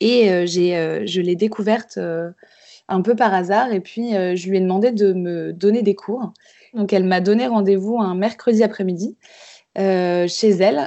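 A woman talks at a very slow pace. Her pitch is medium and her intonation fairly even. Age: 20s. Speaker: embroiderer. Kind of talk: interview. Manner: halting.

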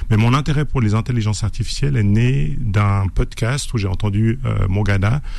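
With a Swiss accent, a man speaks at a fairly low pitch and very even loudness, with audible room echo. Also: ordinary pitch variation, moderate pace, hardly any pauses. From Switzerland. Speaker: novelist and author. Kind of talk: radio interview. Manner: halting, with many repetitions.

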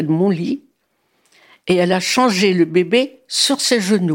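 A woman at a very slow pace, medium in pitch. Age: 80s+. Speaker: grandmother sharing memories. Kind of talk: testimony. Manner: halting.

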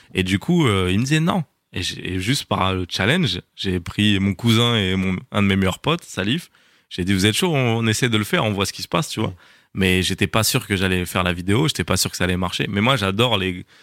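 A man's unremarkable speaking voice at a fairly quick pace, with ordinary pitch variation and a dry, close sound with no echo on a very clean recording with a silent background. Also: fairly low pitch for a man. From France, North African family. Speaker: screenwriter, actor and content creator. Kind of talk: casual interview.

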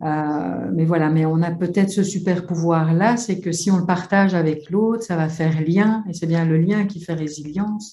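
Her tone is dark and mellow, somewhat breathy, with fairly low pitch. This woman keeps a fairly even intonation. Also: moderate pace, hardly any pauses. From Belgium. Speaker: psychologist and psychotherapist. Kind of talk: webinar discussion.

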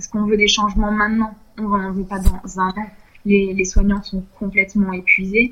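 A woman is speaking. Her voice is pitched in the middle range. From southern France, Nice. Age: 30s. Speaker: intensive care nurse. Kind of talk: interview. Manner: hesitant, many fillers.

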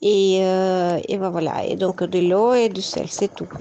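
A woman with a Spanish accent, medium in pitch, with a dark, mellow tone. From Colombia. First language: Spanish (speaking French). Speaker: home cook, mother. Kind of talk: casual cooking chat.

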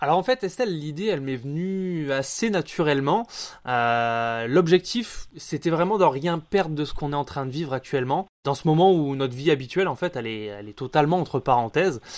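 In an unremarkable speaking voice, a man talks at a fairly quick pace with fairly high pitch and lively intonation, on a very clean recording with a silent background. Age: 30s. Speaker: audio production staff at a newspaper. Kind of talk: interview.

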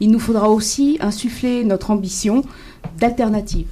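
Her tone is dark and mellow, with ordinary pitch variation. This woman talks at a fairly slow pace. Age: 60s. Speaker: municipal election candidate. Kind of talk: political debate.

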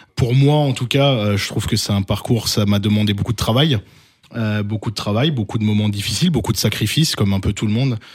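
Speaking at a fairly quick pace, a man with a fairly low pitch sounds somewhat breathy, keeping his loudness very even and his pitch variation ordinary. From Alsace, France. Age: 30s. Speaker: youth basketball coach. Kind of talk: interview.

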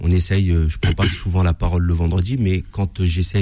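The man's voice is very deep and low in pitch, and somewhat breathy. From France, Paris suburbs (Seine-et-Marne). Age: 40s. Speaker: mosque association president. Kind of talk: radio interview. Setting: radio studio.

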